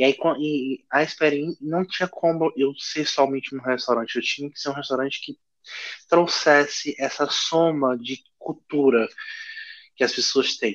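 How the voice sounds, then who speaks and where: A man with a fairly high pitch in a plain, everyday voice, at a fairly slow pace with fairly even intonation, the sound dry and close with no echo. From Pará, northern Brazil. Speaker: chef and restaurant owner. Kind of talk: casual interview.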